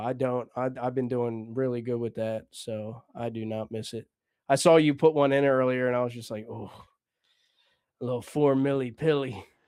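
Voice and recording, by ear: A man with an American accent, medium-pitched and dark, mellow in tone, at a moderate pace with fairly even intonation and big swings in loudness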